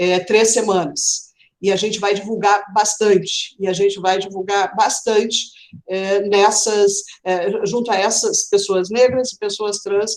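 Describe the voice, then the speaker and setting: A woman at medium pitch talks at a fairly slow pace in a monotone, flat intonation. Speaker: film critics' association leader. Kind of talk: live online panel talk. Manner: hesitant, many fillers.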